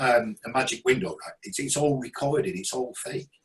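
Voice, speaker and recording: A man with a British accent speaks at a fairly quick pace in a fairly high pitch. His voice is somewhat breathy and swings very widely in pitch. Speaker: video marketing speaker. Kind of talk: presentation. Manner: many ums and hesitations.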